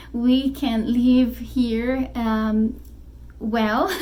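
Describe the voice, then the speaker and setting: A high-pitched woman with a Brazilian Portuguese accent at a very slow pace, audible room echo around her. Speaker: spiritual YouTuber and author. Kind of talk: casual vlog talk to camera. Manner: halting, many fillers.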